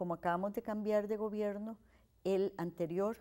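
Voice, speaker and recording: The delivery comes at a fairly slow pace. Its tone is dark and mellow. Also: woman. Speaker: historian and university researcher. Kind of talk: interview.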